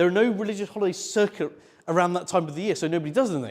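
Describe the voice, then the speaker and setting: A man rattles off his words at a very fast pace, his pitch varying in an ordinary way. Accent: British. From UK. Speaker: conference speaker, developer advocate. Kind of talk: technical talk to a live audience. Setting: stage with audience at a meetup. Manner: loud, brash; hesitant with many ums.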